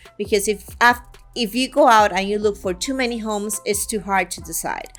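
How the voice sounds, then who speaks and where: A woman speaks at a fairly high pitch with ordinary pitch variation while music plays in the background. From Guatemala. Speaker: real estate agent. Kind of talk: promotional talk to camera.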